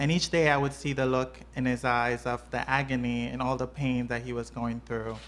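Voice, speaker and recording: A woman speaks with a very deep, low pitch. Her intonation stays flat and monotone. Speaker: nurse. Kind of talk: personal testimony. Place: home room.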